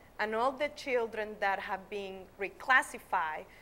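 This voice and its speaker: A woman speaks with a Nicaraguan accent and a bright, sharp tone at a medium pitch. Her intonation is fairly even and her pace fairly slow. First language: Spanish. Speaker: schoolteacher. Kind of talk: interview. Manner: halting.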